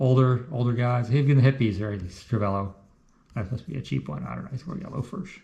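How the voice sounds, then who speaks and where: Somewhat breathy, a man talks at a very fast pace with big swings in loudness. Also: medium pitch for a man, lively intonation. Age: 60s. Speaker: health vlogger, amateur cyclist. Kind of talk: casual talk walking through his blood test results. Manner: casual, halting with many fillers.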